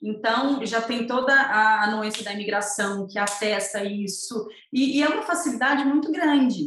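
A woman's lively intonation, with noticeable background noise and audible room echo. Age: 30s. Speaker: entrepreneur offering postpartum planning for mothers. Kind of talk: interview conversation.

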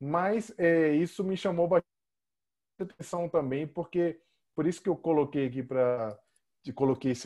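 Against a quiet background, a man speaks in a normal speaking voice. His pace is moderate and his pitch variation ordinary. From Brazil. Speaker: podcast host and author. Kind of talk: interview conversation.

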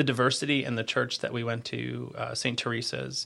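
This is a man talking. His pace is fairly quick. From New Jersey. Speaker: government recruitment chief. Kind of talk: interview conversation. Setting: studio. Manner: loud.

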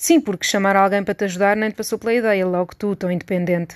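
An ordinary speaking voice from a woman at medium pitch, with ordinary pitch variation, a dry, close sound with no echo and a quiet background. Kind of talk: literary audiobook reading, intimate essay-like monologue addressed to 'you'. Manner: conversational, witty and wry, with a confiding tone and rhetorical questions.

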